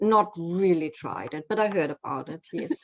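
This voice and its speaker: A woman with a German accent speaks at a fairly low pitch. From Germany. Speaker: copy-editor and proofreader. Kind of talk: casual chat. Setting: live video call stream. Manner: halting, many repeated words.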